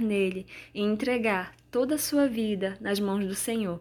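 A woman with a plain, everyday voice speaks at a medium pitch and a fairly slow pace, in a very clean recording with a silent background. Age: 20s. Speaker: podcaster. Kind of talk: personal testimony and devotional reflection.

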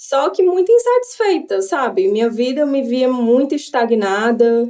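Here is a woman with an ordinary speaking voice. She talks at a moderate pace with ordinary pitch variation. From Brazil, Fortaleza. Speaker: Brazilian immigrant sharing life story. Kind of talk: interview storytelling.

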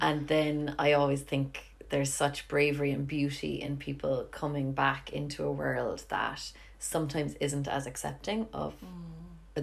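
A woman with a Cork accent speaks at a moderate pace. Audible room echo surrounds her voice. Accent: Irish (Cork). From Ireland. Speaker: podcast host, yoga teacher. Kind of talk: casual interview chat. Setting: home kitchen.

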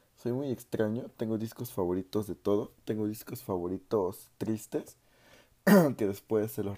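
A man speaks at a moderate pace with a fairly low pitch and a dark, mellow tone. His pitch varies in an ordinary way, and the recording is very clean with a silent background. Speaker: music podcaster. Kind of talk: casual monologue.

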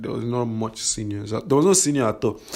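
Very fast speech from a man, noticeable background noise behind him. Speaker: podcaster. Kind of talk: personal storytelling monologue. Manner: halting, many fillers.

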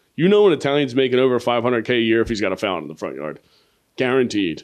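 A man talks at a very fast pace with lively intonation, an animated tone and some vocal fry. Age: 30s. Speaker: comedian and podcast host. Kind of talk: casual chat.

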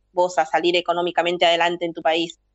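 Here is a woman's voice. Her pitch is fairly low. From Peru, Trujillo (La Libertad). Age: 40s. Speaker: political activist. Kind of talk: interview.

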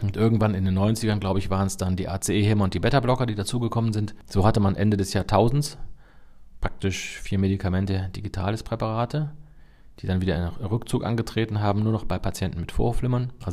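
A man's fairly low voice with a dark, mellow tone, ordinary pitch variation and a very fast pace. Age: 50s. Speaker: cardiologist, chief physician. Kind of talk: expert interview.

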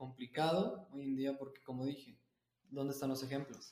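A man is speaking. His pitch is fairly high. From Mexico City. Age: 20s. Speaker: university student and martial arts teacher. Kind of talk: podcast interview. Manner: halting.

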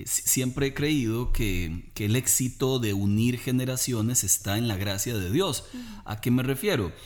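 The delivery is fairly slow, in a normal speaking voice whose pitch varies in an ordinary way. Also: man, medium pitch for a man. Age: 40s. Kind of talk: religious family talk.

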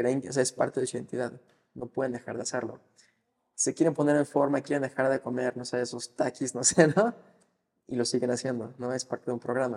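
An unremarkable speaking voice from a man, medium in pitch, fairly even in intonation and fairly quick in pace. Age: 20s. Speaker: financial advisor. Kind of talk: interview.

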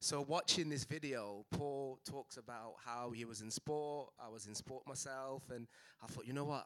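In a Mancunian accent, a man speaks at a moderate pace and medium pitch with fairly even intonation. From Manchester, England. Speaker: physiotherapy practice owner. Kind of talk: panel discussion.

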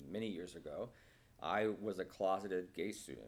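A man has a normal speaking voice with a fairly low pitch. He speaks at a moderate pace. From Nebraska. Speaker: psychiatrist. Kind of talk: casual chat.

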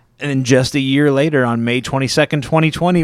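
Medium in pitch and moderate in pace, a man speaks in an ordinary speaking voice. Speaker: movie podcast host. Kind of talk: casual chat, podcast. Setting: studio.

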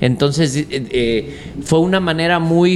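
A man talks at a fairly slow pace, his intonation fairly even, with noticeable background noise behind him. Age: 40s. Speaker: charro horseman and rope maker. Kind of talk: casual interview chat.

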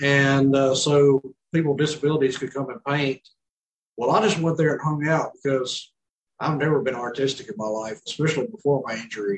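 A man's fairly high-pitched, somewhat breathy voice in a Mississippi accent, at a fairly quick pace with ordinary pitch variation. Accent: Mississippi Southern. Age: 30s. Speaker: quadriplegic former police officer. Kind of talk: casual interview chat.

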